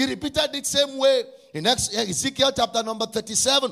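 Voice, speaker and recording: Using a raised, projected voice, a man speaks at a fairly slow pace and an extremely high pitch. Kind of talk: fervent prayer led before a congregation, with call-and-response. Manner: loud, urgent and commanding, with rhythmic repetition; impassioned, shouting decrees and praise.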